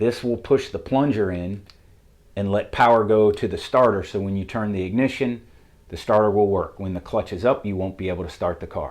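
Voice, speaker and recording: This man has a Southern US accent and a medium pitch. He speaks at a moderate pace with ordinary pitch variation. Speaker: auto mechanic. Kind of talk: tutorial.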